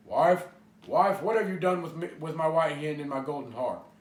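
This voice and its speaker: Using a gruff, growling put-on character voice, a man speaks at a moderate pace and a high pitch. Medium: read story. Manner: growling, gruff.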